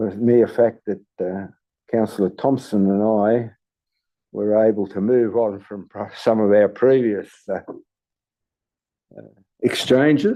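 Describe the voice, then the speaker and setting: With an Australian accent, a man with a dark, mellow tone speaks at a fairly slow pace with fairly even intonation and long, frequent pauses against a quiet background. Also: fairly low pitch for a man. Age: 80s+. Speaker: local councillor. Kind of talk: farewell speech at council meeting. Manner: halting.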